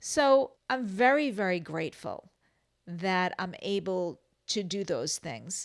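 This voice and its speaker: An ordinary speaking voice with lively intonation comes through in a very clean recording against a silent background. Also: woman. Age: 60s. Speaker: health vlogger, clinical social worker. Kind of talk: personal vlog monologue.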